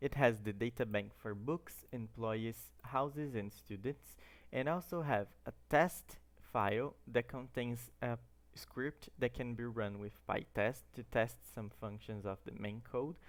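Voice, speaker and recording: A man speaks at a medium pitch with a Brazilian Portuguese accent and ordinary pitch variation. The recording is very clean, with a silent background. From Brazil, Santo André, São Paulo. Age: 20s. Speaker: student. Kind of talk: tutorial.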